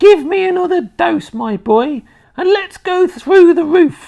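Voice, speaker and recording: A squeaky, shrill put-on character voice at extremely high pitch, delivered at a fairly slow pace. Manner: shouting, excited.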